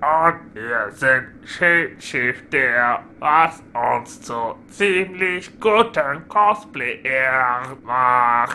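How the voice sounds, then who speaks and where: Over clear background noise, a put-on character voice at a low-to-middle pitch moves at a very slow pace. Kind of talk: comic overacting. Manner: hesitant, stammering.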